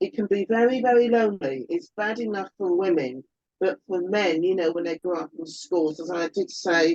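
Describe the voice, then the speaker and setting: In a dry, close sound with no echo, a woman with an ordinary speaking voice talks at a moderate pace in a medium pitch with lively intonation. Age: 60s. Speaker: albinism advocate. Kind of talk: panel discussion.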